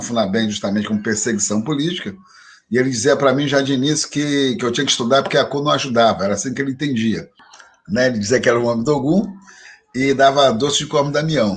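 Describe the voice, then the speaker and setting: Speaking very fast, a man keeps a medium pitch with ordinary variation. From Rio de Janeiro, Brazil. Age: 60s. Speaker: religious leader and professor. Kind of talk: interview conversation.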